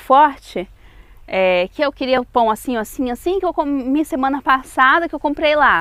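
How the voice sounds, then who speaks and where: In a strong Brazilian accent, a woman speaks at a high pitch, the sound dry and close with no echo. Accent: strong Brazilian accent when speaking French. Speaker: vlogger. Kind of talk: video outro; casual vlog storytelling.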